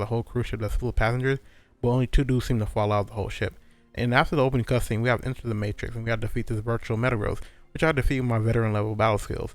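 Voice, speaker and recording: On a very clean recording with a silent background, a man speaks at a very fast pace with a medium pitch and fairly even intonation. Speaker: gaming commentator. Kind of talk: gameplay commentary narration. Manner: soft-spoken.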